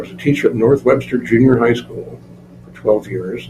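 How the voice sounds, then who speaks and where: With an American accent, a man talks while noticeable background noise carries on behind him. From northeast Indiana, US Midwest. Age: 70s. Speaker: retired school principal, museum curator. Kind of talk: interview. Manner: casual, conversational with fillers.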